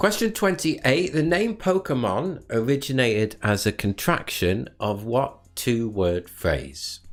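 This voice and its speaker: With a northern English accent, a man speaks at a fairly slow pace and medium pitch, barely pausing. His pitch swings very widely while his loudness stays very even. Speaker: quiz host. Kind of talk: live online quiz hosting. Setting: live stream.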